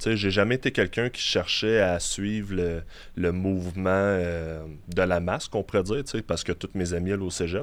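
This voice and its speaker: On a very clean recording with a silent background, a man with a Quebec accent speaks at a moderate pace in a very deep, low pitch with fairly even intonation. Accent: Québécois French. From Quebec City. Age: 20s. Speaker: bodybuilder. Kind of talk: interview. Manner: halting.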